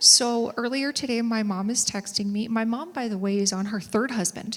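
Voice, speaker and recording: Speaking at a moderate pace in a Minnesotan accent, a woman has a fairly high pitch with ordinary variation, and noticeable background noise is present. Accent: Minnesota. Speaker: author and civic educator. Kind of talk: live stage conversation. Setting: stage with audience.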